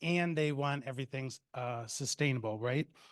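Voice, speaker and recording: A man with an unremarkable speaking voice, moderate pace and ordinary pitch variation, against a quiet background. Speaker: campus dining director. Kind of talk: presentation.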